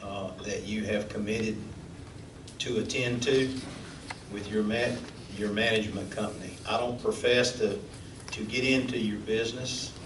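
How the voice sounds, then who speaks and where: With a Southern US accent, the speaker talks in a monotone, flat intonation at a moderate pace with long, frequent pauses, amid audible room echo and noticeable background noise. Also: man, medium pitch for a man. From Florida Panhandle. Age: 60s. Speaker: city commissioner. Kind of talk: public meeting comment. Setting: city hall chambers.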